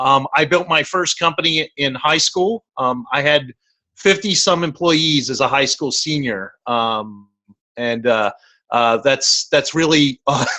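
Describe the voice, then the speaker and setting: A man with a fairly high voice speaks at a fairly slow pace with lively intonation. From Baltimore, Maryland, US. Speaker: venture capitalist, entrepreneur. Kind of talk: interview. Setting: video call on phone. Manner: halting, many fillers.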